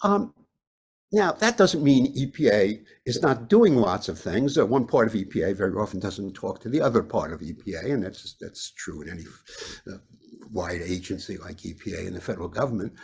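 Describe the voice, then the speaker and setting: The delivery is fairly quick, somewhat breathy and lively in intonation, with big swings in loudness. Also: man, medium pitch for a man. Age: 80s+. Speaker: professor emeritus of environmental health. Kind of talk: webinar lecture. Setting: webinar. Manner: halting, many fillers.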